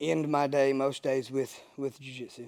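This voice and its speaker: A man speaking at a moderate pace. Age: 40s. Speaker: jiu-jitsu gym owner and instructor. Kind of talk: interview testimony. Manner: halting, many fillers.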